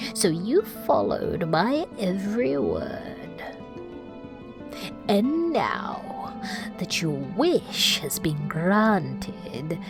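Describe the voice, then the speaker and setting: A female-sounding, put-on character voice at a medium pitch speaks at a very slow pace over clear music in the background. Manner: menacing.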